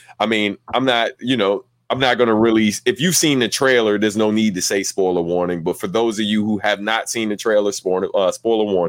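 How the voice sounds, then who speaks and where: A man with a normal speaking voice and a fairly low pitch talks at a fairly quick pace with hardly any pauses and ordinary pitch variation, in a very clean recording with a silent background and a dry, close sound with no echo. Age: 30s. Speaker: podcast host. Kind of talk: casual chat. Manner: laid-back.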